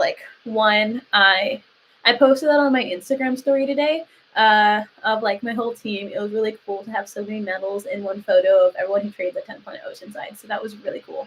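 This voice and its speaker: A woman in a Southern Californian accent, fairly high in pitch. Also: ordinary pitch variation, big swings in loudness. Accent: Valley Girl. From Lancaster, California (US West Coast). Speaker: jiu-jitsu athlete and content creator. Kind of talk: casual livestream chat. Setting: live stream.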